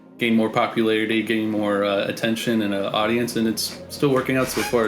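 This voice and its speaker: Music plays in the background as a man speaks at a fairly quick pace and medium pitch, with audible room echo. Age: 20s. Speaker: music producer. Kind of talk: casual chat. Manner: halting.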